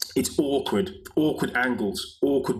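Medium-pitched speech from a man, noticeable background noise around it. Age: 50s. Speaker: movement coach and author. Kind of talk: casual interview chat.

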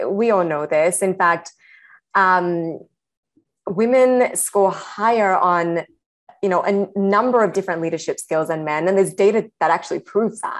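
This woman has a normal speaking voice at medium pitch. Her pace is moderate, with ordinary pitch variation. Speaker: startup co-founder. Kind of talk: casual interview chat.

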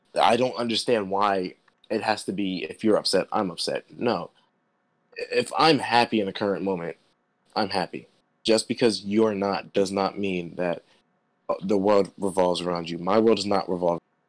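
A man's fairly low voice with fairly even intonation, dry and close with no echo. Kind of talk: angry rant. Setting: podcast conversation. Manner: indignant, emphatic, forceful; rapid, conversational, heated.

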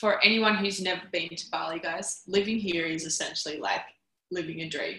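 At a moderate pace, a woman talks with an Australian accent at a medium pitch. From Australia, Canberra. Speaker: podcast host. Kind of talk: interview. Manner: animated.

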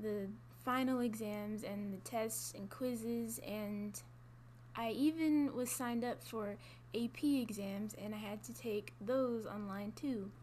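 Noticeable background noise and audible room echo surround speech delivered at a very slow pace. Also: woman. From Georgia, Gwinnett County. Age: young. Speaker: college student. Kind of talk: interview. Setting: office.

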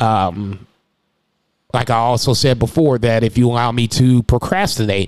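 At a moderate pace, a man speaks at medium pitch with fairly even intonation. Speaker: restaurant server and podcast host. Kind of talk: casual monologue. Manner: loud.

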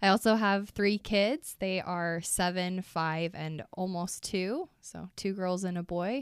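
A woman with an American accent at a very slow pace, ordinary pitch variation, hardly any pauses, and a dry, close sound with no echo. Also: medium pitch for a woman, very clean recording, silent background. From Utah, US. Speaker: dance fitness instructor and writer. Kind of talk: personal testimony interview. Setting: studio.

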